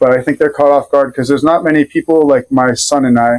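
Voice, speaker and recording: In a dry, close recording with no echo, a man talks in a flat monotone with an American accent. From Rhode Island, US. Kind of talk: casual interview chat. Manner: hesitant, many fillers.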